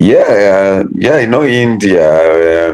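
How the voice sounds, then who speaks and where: Here is a man with a Tanzanian accent. His voice has a dark, mellow tone and a fairly low pitch. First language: Kihehe. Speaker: English learner. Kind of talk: casual chat. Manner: halting.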